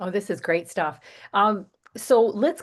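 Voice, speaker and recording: Using lively intonation, a woman speaks in a plain, everyday voice. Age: 60s. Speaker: podcast host. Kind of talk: interview.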